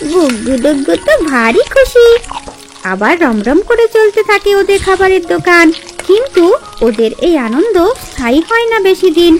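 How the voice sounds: With extremely high pitch and big pitch swings, a woman speaks at a moderate pace over faint music in the background.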